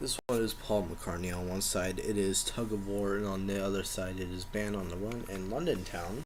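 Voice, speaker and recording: A soft-spoken man talks at a moderate pace with hardly any pauses. His pitch sits fairly low and his intonation stays fairly even. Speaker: collector showing his collection. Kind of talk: casual show-and-tell video.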